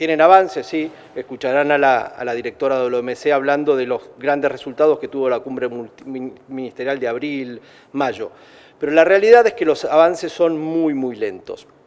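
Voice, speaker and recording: In an Argentine accent, a man with a fairly high pitch talks at a moderate pace with ordinary pitch variation. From Argentina. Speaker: trade federation president. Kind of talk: press conference speech. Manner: halting, many repetitions and fillers.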